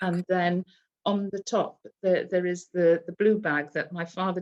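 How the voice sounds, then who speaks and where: Here a woman speaks with a Welsh accent. Her pace is fairly slow. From Aberystwyth, Wales. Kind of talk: interview answer.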